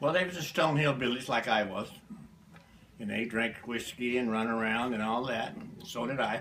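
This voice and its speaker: With an American accent, a man talks at a moderate pace and medium pitch, using ordinary pitch variation amid audible room echo. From US South, Alabama. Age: 70s. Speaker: interviewee, family elder. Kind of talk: family history interview. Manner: terse, plain-spoken.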